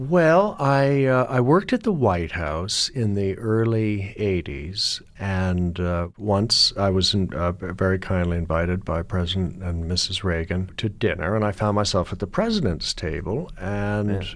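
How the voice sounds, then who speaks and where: This is a normal speaking voice. It moves at a fairly slow pace with hardly any pauses. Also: man, fairly low pitch for a man, ordinary pitch variation. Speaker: satirist and novelist. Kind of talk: casual interview. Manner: witty, dry.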